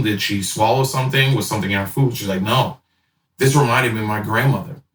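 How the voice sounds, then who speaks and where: In an American accent, this is an unremarkable speaking voice with ordinary pitch variation. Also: man. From Boston. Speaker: chef. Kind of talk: casual interview chat.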